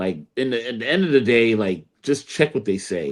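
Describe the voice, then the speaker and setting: Very wide pitch swings mark fairly quick speech in a very clean recording with a silent background. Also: man. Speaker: podcast host. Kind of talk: casual chat. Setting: live stream. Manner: halting, many fillers and restarts.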